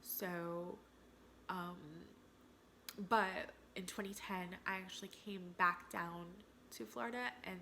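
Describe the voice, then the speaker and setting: At a very slow pace with long, frequent pauses, a woman speaks in a fairly low pitch. Her tone is bright and sharp, and her intonation fairly even. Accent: American. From New Jersey, US. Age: 30s. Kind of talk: casual Q&A vlog.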